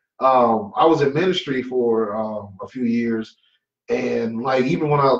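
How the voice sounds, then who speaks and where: At a fairly slow pace, a man talks in a plain, everyday voice at medium pitch. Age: 30s. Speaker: comedian. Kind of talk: casual chat.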